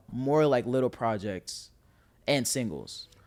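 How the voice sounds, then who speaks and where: With a New York accent, a man speaks in an animated tone. The recording is very clean, the background silent. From Staten Island, New York. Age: 20s. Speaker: rapper. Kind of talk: casual chat.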